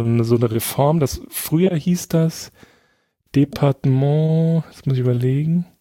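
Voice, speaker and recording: Here a man talks at a fairly high pitch with ordinary pitch variation and a dark, mellow tone. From Saarland, near French border. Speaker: podcast guest. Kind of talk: casual chat. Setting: remote call.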